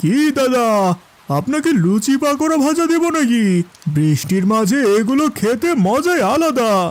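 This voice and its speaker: This is a cartoonish character voice from a man at an extremely high pitch. He goes at a fairly slow pace. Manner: eerie, mocking.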